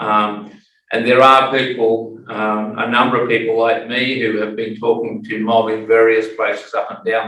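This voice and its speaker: A moderate pace with audible room echo. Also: man. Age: 60s. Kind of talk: panel discussion.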